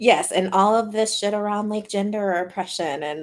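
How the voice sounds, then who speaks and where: In an American accent, a woman speaks at a moderate pace with a normal speaking voice. Her medium pitch has ordinary variation on a very clean recording with a silent background. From US South, Louisiana. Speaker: podcast host, sex therapist. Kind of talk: casual chat.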